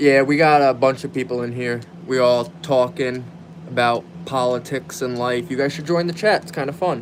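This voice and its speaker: A man at a medium pitch whose loudness swings widely, with noticeable background noise behind him. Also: ordinary pitch variation, moderate pace. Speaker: gaming livestreamer. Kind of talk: casual chat. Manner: animated.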